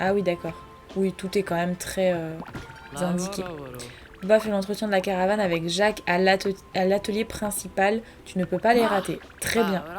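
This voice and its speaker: Music plays in the background as a woman speaks. Her pace is moderate, with ordinary pitch variation. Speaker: gaming YouTuber. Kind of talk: let's play commentary.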